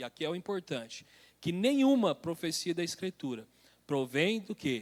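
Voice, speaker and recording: A man's high-pitched voice at a moderate pace, with very wide pitch swings, in a dry, close recording with no echo, very clean and with a silent background. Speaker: church elder teaching Bible study. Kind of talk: Bible study lecture.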